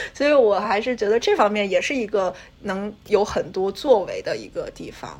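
A woman with a fairly high voice is heard over noticeable background noise. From China. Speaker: graduate student and NGO intern. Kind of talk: casual chat.

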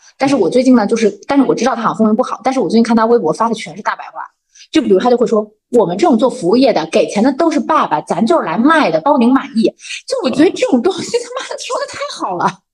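A woman's high voice at a very fast pace, full of very wide pitch swings. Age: 30s. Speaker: company vice president, former internet product manager. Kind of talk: casual chat.

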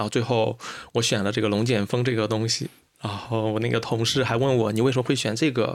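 Very fast, flat, monotone delivery at a very even loudness. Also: man, medium pitch for a man. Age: 30s. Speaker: podcast host. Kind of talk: casual chat. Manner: hesitant, many fillers.

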